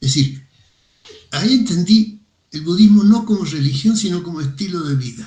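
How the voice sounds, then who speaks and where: Intonation rises and falls in a lively way. There is a somewhat breathy quality. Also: man. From Argentina, Mendoza. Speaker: philosophy professor. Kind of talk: casual chat. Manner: hesitant, many fillers.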